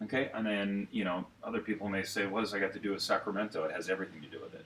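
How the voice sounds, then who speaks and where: Talking at a very fast pace, a man with an American accent and a fairly low voice comes through over noticeable background noise. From Santa Clara, California. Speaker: former morning radio host. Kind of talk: radio-industry interview answer. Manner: fast, hyper, passionate, energetic.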